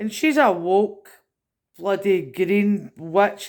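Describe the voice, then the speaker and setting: A woman with a Scottish accent speaks at a medium pitch in a very clean recording with a silent background. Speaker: political commentator vlogger. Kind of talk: rant. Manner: animated.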